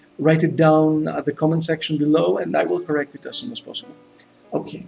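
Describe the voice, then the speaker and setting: Music plays in the background as a man with a Greek accent and a fairly high voice talks at a very fast pace, with ordinary pitch variation. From Greece. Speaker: gaming YouTuber. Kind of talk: let's play gameplay commentary. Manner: hesitant, with many fillers and repetitions.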